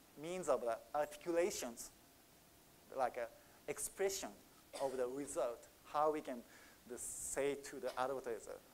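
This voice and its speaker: Speaking with a Japanese accent at a fairly high pitch, a man takes a fairly slow pace with long, frequent pauses and ordinary pitch variation. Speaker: market researcher. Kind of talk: conference Q&A answer. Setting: conference stage with audience. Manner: halting.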